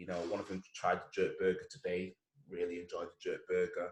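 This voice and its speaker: A man with a Mancunian accent at a moderate pace. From Manchester, northern England. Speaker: entrepreneur. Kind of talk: casual chat.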